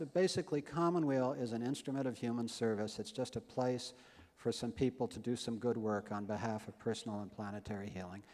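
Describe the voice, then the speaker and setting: This man's voice has a dark, mellow tone at a medium pitch, moving at a fairly quick pace with lively intonation. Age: 60s. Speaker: health-care nonprofit founder. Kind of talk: conference speech. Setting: stage with audience.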